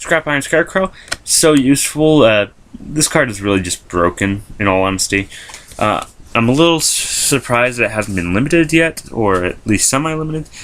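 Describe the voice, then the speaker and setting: A man at medium pitch talks at a fairly quick pace, his pitch swinging very widely. Noticeable background noise is present. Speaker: YouTuber showing a card game deck. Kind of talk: deck profile video, casual explanation. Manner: fast; hesitant with many fillers.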